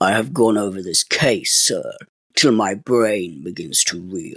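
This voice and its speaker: A man's put-on character voice at a medium pitch, with a fairly slow pace and lively intonation, dry and close with no echo. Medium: read story. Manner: respectful, measured, earnest.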